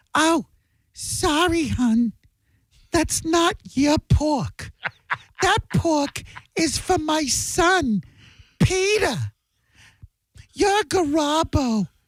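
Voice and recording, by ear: In a put-on character voice that is shrill and high, the speaker goes at a very slow pace with long, frequent pauses.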